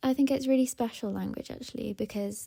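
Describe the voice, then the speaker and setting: A woman with a slight Welsh accent speaks in a dark, mellow tone and fairly even intonation, on a very clean recording with a silent background. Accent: faint Welsh, often taken for English. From Wales. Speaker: interviewee. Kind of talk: personal interview testimony. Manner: hesitant, with fillers.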